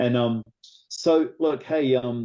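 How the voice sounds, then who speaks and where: The voice has a dark, mellow tone and comes with an American accent. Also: man. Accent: New Zealand accent with American tinge. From New Zealand. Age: old. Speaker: interviewer, motorsport channel host. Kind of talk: interview.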